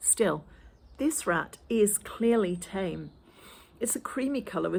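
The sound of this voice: In an unforced reading voice, the speaker uses lively intonation.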